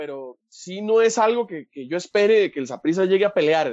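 A Costa Rican accent in a dry, close sound with no echo. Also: man. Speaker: football commentator guest. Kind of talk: casual chat.

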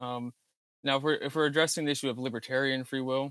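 Very fast speech in an American accent, dry and close with no echo, on a very clean recording with a silent background. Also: man. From Virginia, US. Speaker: theology graduate. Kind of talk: theological discussion.

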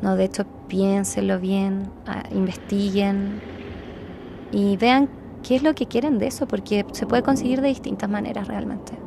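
A woman at a fairly slow pace, with long, frequent pauses, ordinary pitch variation and noticeable background noise. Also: medium pitch for a woman. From Chile. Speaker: psychologist sharing a healing experience. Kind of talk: interview testimony.

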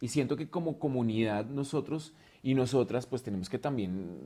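This voice has a dark, mellow tone and moves at a moderate pace. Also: man. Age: 40s. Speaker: drag artist, dance teacher and dancer. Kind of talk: casual chat.

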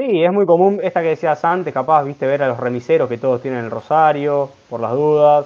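Hardly pausing at all, a man talks in an ordinary speaking voice at a fairly high pitch with ordinary pitch variation. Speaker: radio host. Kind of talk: casual chat; scripted segment presentation. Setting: remote from home.

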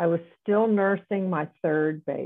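In a plain, everyday voice, a woman talks at a fairly slow pace with ordinary pitch variation. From US South. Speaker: retired neonatologist. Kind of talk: interview.

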